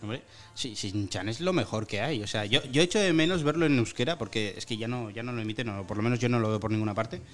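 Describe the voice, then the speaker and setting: Intonation stays lively as a man races along at a very fast pace. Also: medium pitch for a man. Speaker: student radio podcast host. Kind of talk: casual chat.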